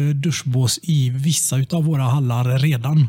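Somewhat breathy, a man speaks at medium pitch with fairly even intonation and a dark, mellow tone, recorded in a dry, close sound with no echo. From Sweden, Tranemo (Västergötland). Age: 30s. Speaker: local politician. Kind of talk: casual chat. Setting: office rigged as studio.

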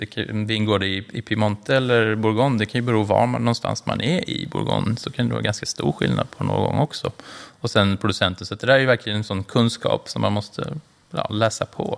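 Fairly low male voice at a fairly quick pace, ordinary pitch variation, noticeable background noise behind it. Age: 40s. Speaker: wine merchant. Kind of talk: interview.

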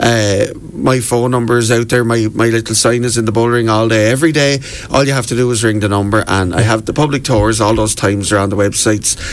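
With a Wexford Irish accent, a man talks at a very fast pace and medium pitch, with very even loudness, fairly even intonation and noticeable background noise. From Ireland, County Wexford. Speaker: local history tour guide. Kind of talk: radio interview. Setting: radio studio.

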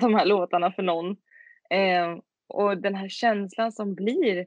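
A woman's normal speaking voice at a medium pitch, with fairly even intonation. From Sweden, Tidaholm in Skaraborg. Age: 20s. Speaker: singer-songwriter. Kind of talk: interview.

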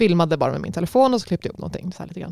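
A woman speaks in a dark, mellow tone at a fairly low pitch. The sound is dry and close, with no echo. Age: 30s. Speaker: dance project leader. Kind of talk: casual chat. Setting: studio.

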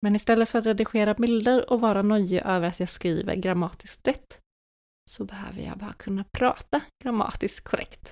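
An ordinary speaking voice moves at a moderate pace with fairly even intonation but big swings in loudness. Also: woman, medium pitch for a woman. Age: 20s. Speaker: podcast host. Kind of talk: solo monologue.

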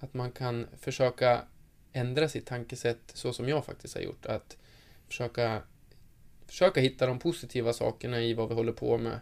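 A man speaks in a plain, everyday voice at medium pitch. His pace is moderate and his intonation fairly even. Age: 20s. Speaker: professional footballer. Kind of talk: interview.

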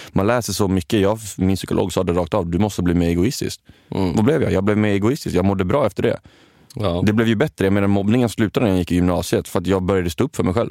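A man's fairly low, dark, mellow voice moves at a very fast pace with very even loudness and ordinary pitch variation. The sound is dry and close, with no echo. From Sweden, Kalmar. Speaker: podcast co-host, reality TV participant. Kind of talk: casual chat.

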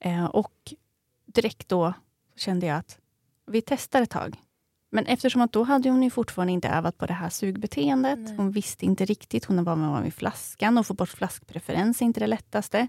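Dry and close with no echo, a dark, mellow voice moves at a moderate pace with lively intonation in a very clean recording with a silent background. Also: woman, medium pitch for a woman. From Sweden, Eskilstuna. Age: 30s. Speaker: new mother, podcast guest. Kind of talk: interview, personal story.

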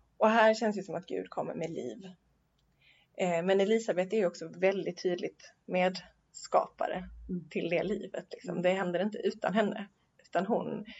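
A woman in a plain, everyday voice speaks at medium pitch and a moderate pace, her intonation fairly even. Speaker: podcast host and university chaplain. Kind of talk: casual theological conversation. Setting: Uppsala, recorded in person. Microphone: poor sound quality.

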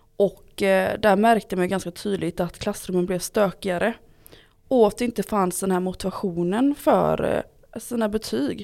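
In a Gothenburg accent, a woman talks at a moderate pace with a medium pitch and ordinary pitch variation. The recording is very clean, with a silent background. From Gothenburg, Sweden. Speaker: local politician, education committee. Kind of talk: interview.

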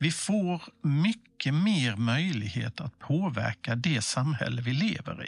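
A somewhat breathy, fairly high male voice at a very slow pace, with hardly any pauses and very wide pitch swings. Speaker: civic information presenter. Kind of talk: scripted explainer dialogue.

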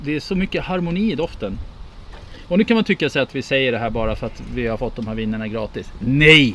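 A man talks at a very fast pace with a medium pitch. His pitch swings very widely. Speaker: podcast host, wine taster. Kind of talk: casual chat.

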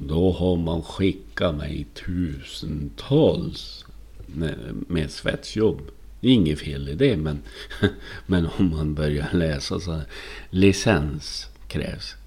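A man talks very slowly with a very deep, low pitch, vocal fry and a dark, mellow tone. His intonation is lively, and audible room echo surrounds him. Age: 50s. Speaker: podcaster. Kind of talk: personal monologue podcast. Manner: halting, frequent word repetitions; animated.

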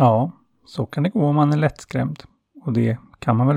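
The voice is a natural reading voice. Its pitch varies in an ordinary way over a quiet background.

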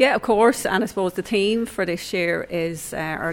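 A woman speaks with a southeast Irish accent. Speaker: adult education coordinator. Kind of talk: interview.

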